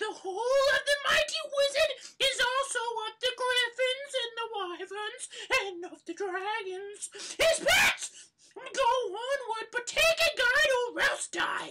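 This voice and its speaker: In a squeaky, put-on character voice, a female-sounding speaker talks at a fairly slow pace with extremely high pitch. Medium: audio drama. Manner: loud, archaic, commanding.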